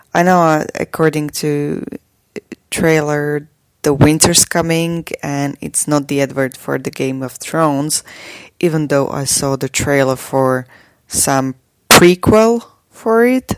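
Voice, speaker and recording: A woman with a Slovak accent speaks at a very slow pace in a very deep, low pitch with ordinary pitch variation. The recording is very clean with a silent background. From Slovakia. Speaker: podcaster. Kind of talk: casual monologue.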